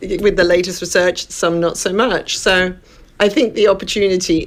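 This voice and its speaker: Noticeable noise fills the background. Against it, a woman talks with ordinary variation in pitch. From Western Australia, Perth. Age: 60s. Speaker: wellness coach, former journalist and TV producer. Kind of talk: radio interview.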